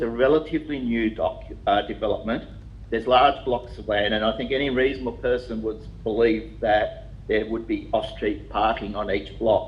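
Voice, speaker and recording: With an Australian accent, a man talks at a moderate pace, and audible room echo surrounds his voice. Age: 60s. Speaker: applicant addressing a council planning committee. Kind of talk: public submission at a council meeting. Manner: halting.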